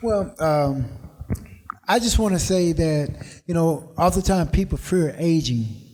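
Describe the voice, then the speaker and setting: Over noticeable background noise, a man speaks high-pitched at a fairly slow pace, keeping his loudness very even and leaving long, frequent pauses. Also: ordinary pitch variation. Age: 60s. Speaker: fitness motivational speaker. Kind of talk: casual chat.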